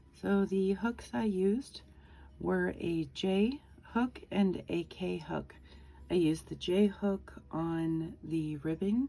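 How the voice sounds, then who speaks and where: Music plays in the background. Over it, a woman speaks. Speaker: crochet tutorial maker. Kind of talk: tutorial.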